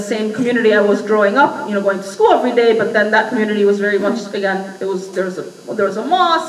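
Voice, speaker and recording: A woman speaks with an American accent and ordinary pitch variation. There is noticeable background noise and audible room echo. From US Midwest, suburbs of Chicago. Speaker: activist speaker. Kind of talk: public talk. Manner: halting, many fillers.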